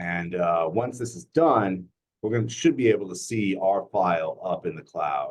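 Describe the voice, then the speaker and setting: An ordinary speaking voice from a man, fairly low in pitch, at a moderate pace, with lively intonation and big swings in loudness. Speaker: software trainer at work meeting. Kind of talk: tutorial.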